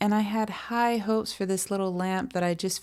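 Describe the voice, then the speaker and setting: Recorded very cleanly over a silent background, a woman speaks softly at medium pitch. Her pace is moderate and her intonation fairly even. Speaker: fiber artist and crochet video maker. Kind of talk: casual vlog and tutorial. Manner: soft-spoken, mellow.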